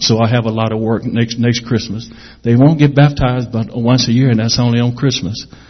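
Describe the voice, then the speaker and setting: A medium-pitched man speaks at a fairly quick pace, somewhat breathy and in a monotone, flat way. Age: 50s. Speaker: missionary. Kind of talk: testimony. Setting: church.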